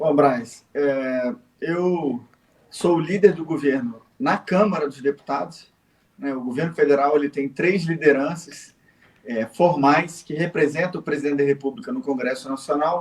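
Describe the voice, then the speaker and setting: A man speaks at a fairly slow pace with a fairly high pitch and ordinary pitch variation. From Rio de Janeiro, Brazil. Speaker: federal politician, ex-army officer. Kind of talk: interview.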